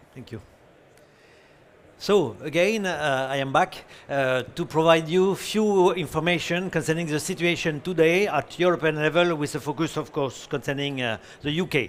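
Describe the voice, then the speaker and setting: A man with a fairly high pitch talks at a moderate pace, varying his pitch in an ordinary way. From France. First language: French. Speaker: company president, conference speaker. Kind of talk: conference presentation. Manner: halting.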